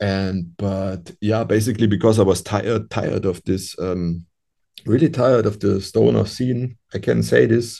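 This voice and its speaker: His voice is fairly low, dark and mellow, with vocal fry. The man moves at a moderate pace with lively intonation. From Europe. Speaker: musician. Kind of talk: interview. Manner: halting.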